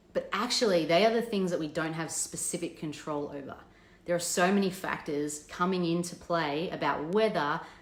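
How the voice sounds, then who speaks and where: This woman's voice sits fairly low, with ordinary pitch variation. Audible room echo surrounds it. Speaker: business coach. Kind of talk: live stream talk. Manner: fast.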